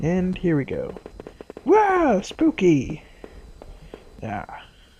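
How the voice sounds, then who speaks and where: A quiet voice comes through noticeable background noise. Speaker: gaming video creator. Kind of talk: let's play commentary.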